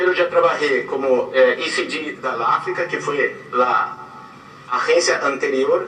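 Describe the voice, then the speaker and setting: A man with a Portuguese accent speaks at a fairly slow pace. There is audible room echo and noticeable background noise. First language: Portuguese (speaking Spanish). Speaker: advertising creative director. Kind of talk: guest lecture.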